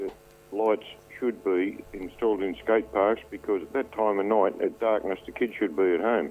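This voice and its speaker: This man talks at a fairly low pitch with fairly even intonation. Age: 60s. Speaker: caller. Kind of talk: radio call-in.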